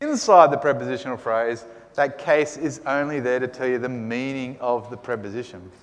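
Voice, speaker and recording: A man speaks with an Australian accent. Noticeable background noise and audible room echo are present. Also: medium pitch for a man, ordinary pitch variation, moderate pace. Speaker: Greek teacher. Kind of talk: lecture.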